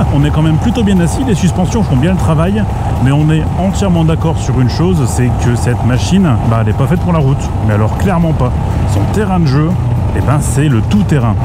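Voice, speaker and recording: The fairly quick speech sounds dry with no echo, over loud background noise. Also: man. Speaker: motorcycle reviewer. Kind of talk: casual moto vlog commentary. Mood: playful, laughing. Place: motorbike. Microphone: helmet.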